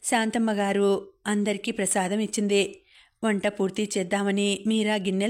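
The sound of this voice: This recording carries an unforced reading voice.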